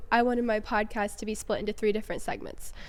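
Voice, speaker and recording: With an American accent, a woman speaks at a fairly high pitch in a monotone, flat intonation. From upstate New York. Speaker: podcast host. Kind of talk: casual chat.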